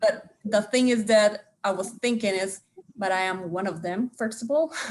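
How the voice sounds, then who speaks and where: With a strong Spanish accent, a woman of fairly high pitch speaks at a moderate pace with ordinary pitch variation. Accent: thick Spanish. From Costa Rica. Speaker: theatre artist. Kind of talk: roundtable discussion.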